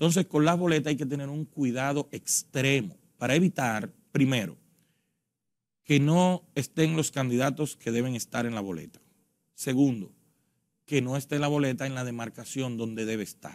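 Talking at a moderate pace, a man lets his pitch vary in an ordinary way. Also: quiet background. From Dominican Republic. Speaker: elections official; election guest. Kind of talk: interview. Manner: formal. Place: studio. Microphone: lapel.

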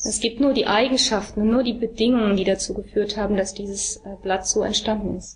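Over noticeable background noise, a woman with a fairly high pitch talks at a very fast pace with hardly any pauses. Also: fairly even intonation. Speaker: interpreter. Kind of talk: consecutive interpreting of a talk.

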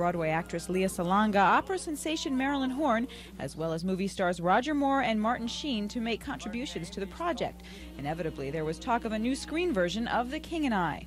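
With music in the background, a woman of medium pitch speaks at a fairly quick pace, her voice making very wide pitch swings. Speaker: TV entertainment reporter. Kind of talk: TV news report.

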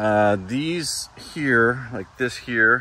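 Dry sound with no echo, light background noise and ordinary pitch variation. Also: man. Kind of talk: tutorial. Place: farm machine. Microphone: phone near.

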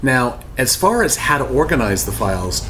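Over light background noise, a man talks at a moderate pace with very wide pitch swings. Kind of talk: tutorial. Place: office.

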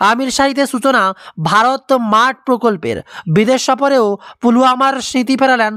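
The voice moves at a fairly quick pace with lively intonation and a fairly bright tone.

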